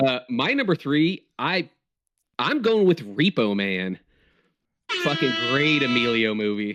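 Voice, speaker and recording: A man at medium pitch with very wide pitch swings, a fairly slow pace and long, frequent pauses, over music in the background. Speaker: sports podcast co-host. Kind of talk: casual chat.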